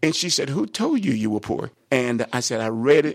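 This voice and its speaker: A man talks at a medium pitch and a moderate pace. The recording is very clean, with a silent background. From Texas, Brownwood. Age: 60s. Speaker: bishop. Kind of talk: interview.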